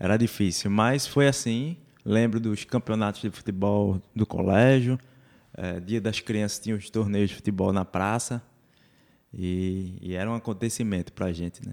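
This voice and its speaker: A man talks in a normal speaking voice at a fairly low pitch and a moderate pace. His intonation is fairly even, and the recording is very clean with a silent background. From Recife, Brazil. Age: 20s. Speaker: church youth activist. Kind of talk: casual interview chat.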